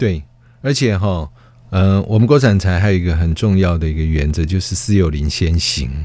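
Very deep and low, this man's voice has a dark, mellow tone and lively intonation. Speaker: government forestry official. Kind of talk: interview.

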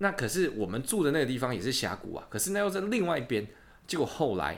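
Very wide swings in pitch run through what this man says. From Taiwan. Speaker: podcast host, exchange student. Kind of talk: casual chat. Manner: animated.

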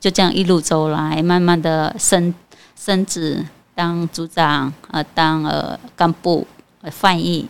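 Her pitch is fairly low and her intonation fairly even. The woman talks at a very slow pace. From Cambodia. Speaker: immigrant native-language teacher. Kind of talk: interview. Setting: studio.

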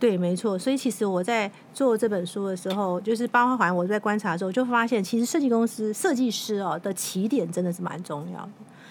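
Talking at a fairly quick clip with hardly any pauses, a woman uses an unremarkable speaking voice at medium pitch with ordinary pitch variation. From Taiwan, Taipei. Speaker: magazine editor-in-chief and author. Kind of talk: interview.

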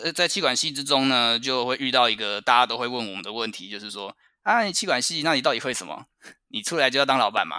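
This man talks at a very fast pace. His pitch is medium and his intonation lively. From Taiwan. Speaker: finance professional abroad. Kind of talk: interview chat.

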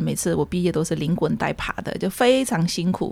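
With vocal fry and a dark, mellow tone, a woman of fairly low pitch speaks at a fairly quick pace. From Myanmar, ethnic Chinese of Yunnan descent. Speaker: community association secretary and Burmese language teacher. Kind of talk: interview, personal life story.

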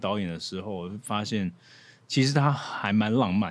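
Spoken at a fairly slow pace, the clip is a very clean recording with a silent background. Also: man. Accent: slight Cantonese. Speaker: actor. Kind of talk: casual chat. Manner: animated, laughing.

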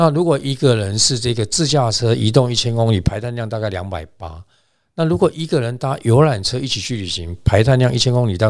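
The speaker moves at a fairly quick pace with lively intonation on a very clean recording with a silent background. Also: man. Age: 60s. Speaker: travel company executive. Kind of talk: interview. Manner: halting, many fillers.

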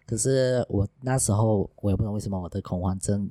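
A man's fairly low, dark, mellow voice with a dry, close sound with no echo, on a very clean recording with a silent background. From Sarawak, East Malaysia. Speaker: former junior doctor turned tutor. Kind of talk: casual chat. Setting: in the hosts' home.

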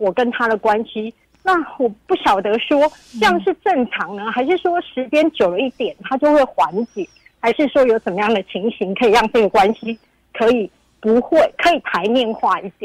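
Very wide pitch swings, with a dry, close sound and no echo. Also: woman, fairly high pitch for a woman, moderate pace. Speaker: caller. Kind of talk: call-in confession. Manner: trembling voice.

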